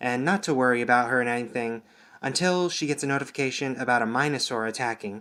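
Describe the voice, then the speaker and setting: Quiet and bright with a sharp tone, the voice is heard in a very clean recording with a silent background. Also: man. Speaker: TV show reviewer. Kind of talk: video review. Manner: monotone.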